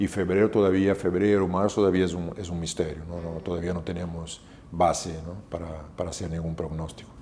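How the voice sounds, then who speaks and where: This man talks at a fairly quick pace with a very deep, low pitch, a dark, mellow tone and monotone, flat intonation. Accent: Brazilian. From southern Brazil, Porto Alegre. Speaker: hotel manager. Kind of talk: interview. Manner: halting, many fillers and repetitions.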